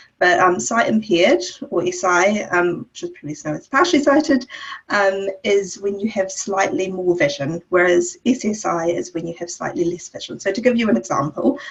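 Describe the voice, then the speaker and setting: Against noticeable background noise, a woman at medium pitch talks at a moderate pace, with very wide pitch swings and big swings in loudness. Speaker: eye clinic liaison officer. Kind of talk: webinar presentation. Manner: hesitant, many fillers.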